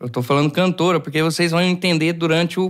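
A man speaks with a fairly high pitch. His pitch moves in an ordinary way against a quiet background. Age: 20s. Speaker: podcast host. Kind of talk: casual chat. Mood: relaxed, animated. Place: studio. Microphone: studio mic.

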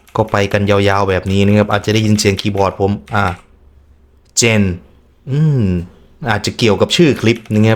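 With fairly even intonation, a man in a plain, everyday voice talks at a fairly low pitch. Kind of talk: casual reaction commentary to camera. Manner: casual, joking.

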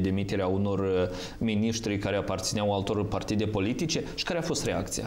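At a fairly quick pace, a man speaks in a fairly low voice. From Moldova. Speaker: TV host. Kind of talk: TV talk show moderation. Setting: TV studio. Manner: formal. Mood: calm, formal. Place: studio.

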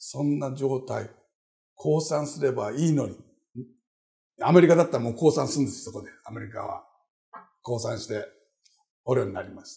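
Against a quiet background, a dark, mellow voice with vocal fry moves at a moderate pace, showing ordinary pitch variation, big swings in loudness, and long, frequent pauses. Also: man. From Japan, Osaka. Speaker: professor. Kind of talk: interview. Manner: animated. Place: office. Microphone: lapel.

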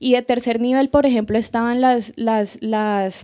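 Fairly high in pitch and dark, mellow in tone, a woman speaks with a Colombian accent at a fairly slow pace. Her intonation is fairly even, and the background is quiet. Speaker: student, audience member; audience member. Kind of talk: audience question. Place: hall.

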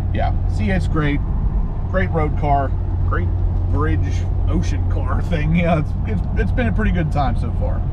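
Loud background noise surrounds a man who talks at a fairly slow pace with long, frequent pauses, the sound dry with no echo. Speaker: car vlogger driving. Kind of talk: casual vlog chat. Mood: excited, upbeat.

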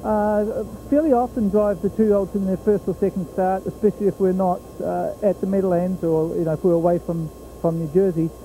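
A man with a New Zealand accent speaks at a fairly quick pace in a high, dark, mellow voice with ordinary pitch variation. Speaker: harness racing horse trainer. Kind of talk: trackside sports interview. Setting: at a fairground racetrack. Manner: halting, many fillers.

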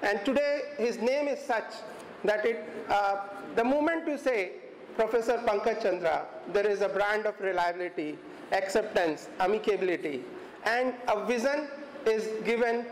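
The speaker talks at a moderate pace with long, frequent pauses, keeping the volume very even and the pitch varying in an ordinary way. Light background noise and audible room echo are present. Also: man, high pitch for a man. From India. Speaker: head of university department; event host introducing guest speaker. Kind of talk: formal introduction speech. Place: classroom. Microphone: podium.

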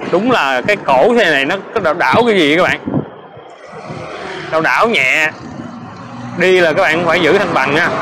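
Moderate pace against loud background noise. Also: man. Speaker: electric scooter reviewer. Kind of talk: casual ride commentary. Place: motorbike. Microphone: camera far.

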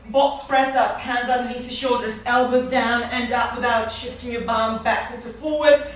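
With audible room echo and light background noise, a woman speaks at high pitch and a fairly slow pace in monotone, flat intonation. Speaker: fitness instructor. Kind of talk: workout instruction. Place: home room. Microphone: camera far.

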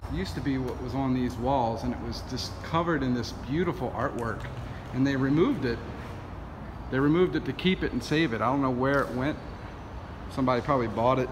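A man speaks at a very fast pace with ordinary pitch variation over noticeable background noise. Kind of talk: casual vlog commentary. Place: factory. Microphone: phone near.

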